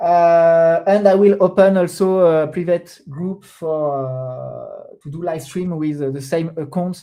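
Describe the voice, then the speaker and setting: The speaker has a French accent. The pace is fairly slow. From France. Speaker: crypto trader streamer. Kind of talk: live stream commentary. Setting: live stream at computer. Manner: hesitant, many fillers.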